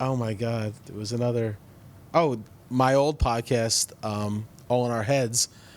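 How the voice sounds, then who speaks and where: In an American accent, a man with a plain, everyday voice and a medium pitch talks at a fairly slow pace with fairly even intonation. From New Jersey. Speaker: comedian and podcast host. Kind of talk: casual chat.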